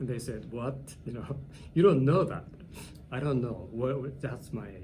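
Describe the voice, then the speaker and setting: Audible room echo surrounds a man with a Japanese accent, whose dark, mellow tone is somewhat breathy as he speaks at a moderate pace. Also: medium pitch for a man, ordinary pitch variation. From Japan, Hiroshima. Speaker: English teacher. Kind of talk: interview. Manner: halting.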